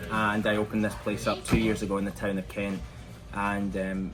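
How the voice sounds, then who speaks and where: Over music in the background, a man with a Scottish accent speaks at a moderate pace in a fairly low pitch, with audible room echo. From Scotland, Glasgow. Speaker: shop owner. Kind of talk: casual interview. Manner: hesitant, many fillers.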